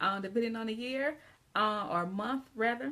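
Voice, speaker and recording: A woman with a Southern US accent has a fairly high pitch, ordinary pitch variation and an animated, bright, sharp tone. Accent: Southern drawl. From US South, Georgia. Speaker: English teacher and writing consultant. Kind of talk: live video lesson. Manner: casual, animated.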